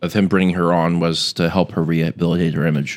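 A man talking at a fairly quick pace. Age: 20s. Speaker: media analyst. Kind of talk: casual chat. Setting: studio.

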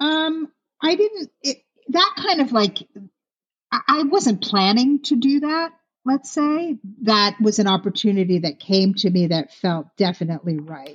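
At a fairly slow pace, a woman with an American accent speaks in a fairly high, somewhat breathy voice with very wide pitch swings. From US East Coast. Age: 50s. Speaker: celebrity makeup artist. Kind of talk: casual interview chat. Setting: remote call.

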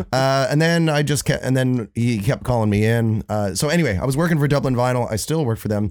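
In a very clean recording with a silent background, a man with a medium pitch talks at a very fast pace at very even loudness. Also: ordinary pitch variation. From born in Florida, raised in Ireland from age fourteen. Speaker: saxophone player. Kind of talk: casual chat. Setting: home recording.

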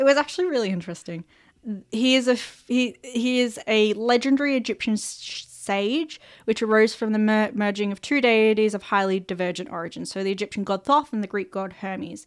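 On a very clean recording with a silent background, a woman talks in an Australian accent at a fairly high pitch. She goes at a fairly quick pace with ordinary pitch variation. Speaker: world-building podcast host. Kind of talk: casual chat; reading notes aloud.

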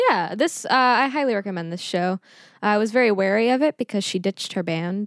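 A woman with a plain, everyday voice speaks at a medium pitch with lively intonation. The recording is very clean with a silent background and a dry, close sound with no echo. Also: fairly quick pace. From Texas (Schertz, near San Antonio). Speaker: musician. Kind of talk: casual chat.

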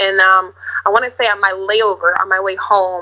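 The woman's voice is medium in pitch, with a bright, sharp tone. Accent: Upper Midwest. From Minneapolis, Minnesota. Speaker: actress and model. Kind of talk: casual interview.

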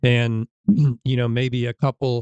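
A man in a normal speaking voice, with an American accent and medium pitch, talks with fairly even intonation in a dry, close sound with no echo. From Illinois, US Midwest. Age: 50s. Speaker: chiropractor. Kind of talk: casual chat.

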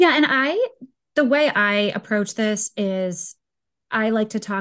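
A woman's lively intonation against a quiet background. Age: 30s. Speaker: podcast host. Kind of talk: interview; scripted intro. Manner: animated.

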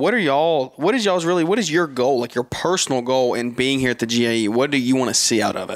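This man talks at a very fast pace. His pitch sits in the medium range. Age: 20s. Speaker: podcaster. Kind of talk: casual chat.

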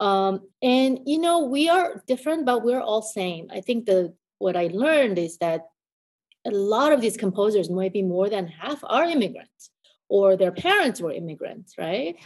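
At a moderate pace, a woman speaks with an American accent. Her fairly high pitch makes very wide swings. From South Korea, then US from youth. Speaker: concert pianist and piano professor. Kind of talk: interview conversation.

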